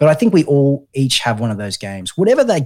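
A man with an Australian accent at a very fast pace. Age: 30s. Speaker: mental health podcast host. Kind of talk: casual chat.

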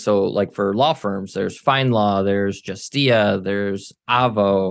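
An unremarkable speaking voice talks with fairly even intonation over a quiet background. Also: man. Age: 30s. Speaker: military veteran and marketing agency owner. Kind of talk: interview.

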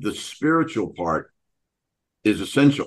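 An unremarkable speaking voice moves at a fairly slow pace with ordinary pitch variation against a quiet background. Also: man. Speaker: podcast host. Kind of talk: casual chat.

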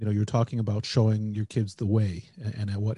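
A man's very fast, somewhat breathy delivery in a fairly low voice with a dark, mellow tone and an American accent, monotone and flat, against a quiet background. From United States. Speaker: podcast host. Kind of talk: casual chat.

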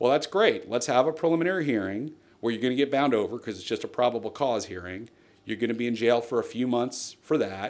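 In an American accent, a man speaks at a very fast pace with medium pitch and ordinary pitch variation. The recording is very clean with a silent background. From New Jersey. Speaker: lawyer. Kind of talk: interview.

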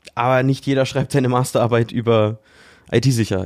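This man speaks at a moderate pace in a medium pitch, his intonation fairly even. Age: 20s. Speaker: IT security analyst. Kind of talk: interview. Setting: virtual studio. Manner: hesitant with frequent fillers.

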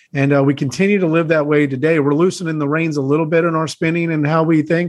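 A man with a normal speaking voice, fairly high in pitch, fairly even intonation, fairly quick pace, quiet background. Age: 30s. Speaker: real estate investor. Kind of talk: interview.

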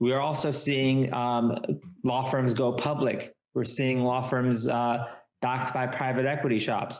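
In a room with audible echo, a man of medium pitch speaks at a fairly slow pace, his intonation monotone and flat and his loudness very even. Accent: Californian. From US West Coast, Silicon Valley. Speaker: lawyer, law firm CEO. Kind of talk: interview.

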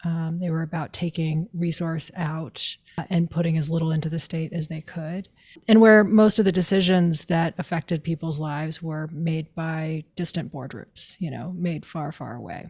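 A somewhat breathy woman speaks at a fairly low pitch with fairly even intonation and hardly any pauses. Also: moderate pace. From Maine. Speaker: policy advocate and author. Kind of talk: interview.

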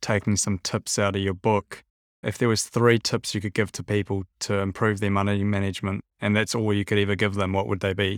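On a very clean recording with a silent background and a dry, close sound with no echo, a man with a fairly low pitch speaks at a moderate pace. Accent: New Zealand. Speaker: podcast host. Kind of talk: interview.

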